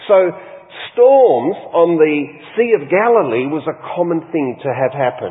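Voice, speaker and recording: Over noticeable background noise, a man with an Australian accent speaks fairly slowly in a fairly high voice that swings very widely in pitch. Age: 60s. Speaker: pastor. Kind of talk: sermon. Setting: church.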